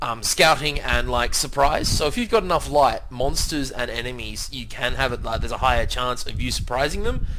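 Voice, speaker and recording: In an Australian accent, a man talks at a moderate pace, with audible room echo. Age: 20s. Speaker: gaming youtuber. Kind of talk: let's play commentary. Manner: casual, hesitant with many fillers.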